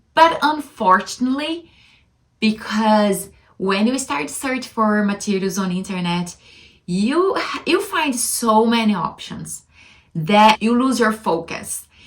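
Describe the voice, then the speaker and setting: A very slow, somewhat breathy delivery with a strong non-native accent. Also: woman. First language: not English. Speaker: language-learning vlogger. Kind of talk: casual vlog monologue. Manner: halting.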